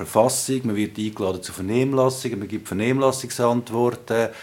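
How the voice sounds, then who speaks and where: Speaking at a fairly quick pace, a man uses a normal speaking voice at medium pitch with ordinary pitch variation. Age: 40s. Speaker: politician. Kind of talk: interview.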